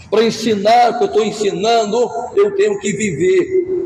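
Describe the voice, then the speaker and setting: A man's high-pitched voice with very wide pitch swings at a fairly slow pace, audible room echo and noticeable background noise. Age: 60s. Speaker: pastor. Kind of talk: sermon. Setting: church.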